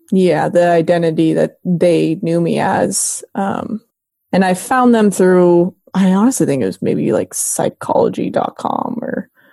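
A woman's medium-pitched voice with an American accent, dark and mellow in tone, with vocal fry, lively intonation and a fairly slow pace, in a dry, close recording with no echo. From US West Coast, Bay Area California. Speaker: retired professional soccer player. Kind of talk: interview conversation.

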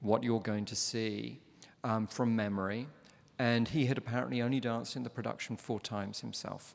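A man of medium pitch speaks at a moderate pace with a London accent. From London, England. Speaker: ballet master, former ballet dancer. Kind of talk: live interview before an audience. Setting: opera house stage with audience.

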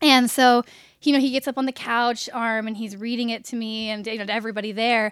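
A woman with an American accent and an unremarkable speaking voice talks at a fairly quick pace, her fairly high pitch showing ordinary variation. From US South, Richmond, Virginia. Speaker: writer and actress. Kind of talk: casual interview chat. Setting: at the guest's home.

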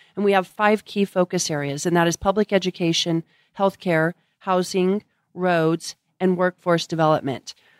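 A plain, everyday voice with an American accent, speaking at a moderate pace with fairly even intonation and very even loudness. The recording is very clean with a silent background and a dry, close sound with no echo. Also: woman, medium pitch for a woman. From Colorado. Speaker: nonprofit executive. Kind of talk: interview. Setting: in person.

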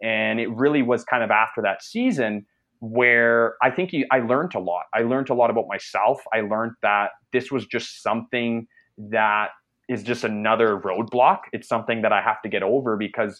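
A man speaks in an ordinary speaking voice at medium pitch. His pace is moderate and his pitch variation ordinary. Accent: Canadian. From Canada. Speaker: entrepreneur, former junior hockey player. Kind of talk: casual interview. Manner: many fillers and repetitions.

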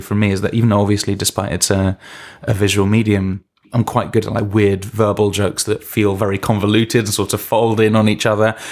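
In a London accent, a man speaks at a fairly quick pace with a fairly low pitch. The recording is very clean, the background silent. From London, England. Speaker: TV animation head writer. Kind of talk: interview.

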